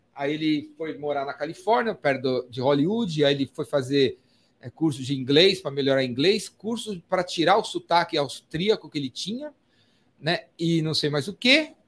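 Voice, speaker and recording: This man has a plain, everyday voice, pitched fairly high, with lively intonation and a moderate pace. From São Paulo, Brazil. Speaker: podcast host. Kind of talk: casual chat. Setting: studio.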